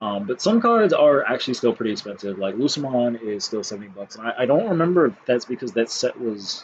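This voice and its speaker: A man rattles along at a very fast pace with hardly any pauses and lively intonation. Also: medium pitch for a man. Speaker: card game youtuber. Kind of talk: casual monologue. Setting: home recording on laptop.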